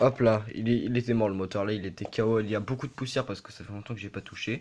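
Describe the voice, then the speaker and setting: A man talks rather quickly, with clearly audible noise in the background. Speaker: toy car collector youtuber. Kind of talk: casual video presentation. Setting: bedroom. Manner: fast; hesitant, many fillers.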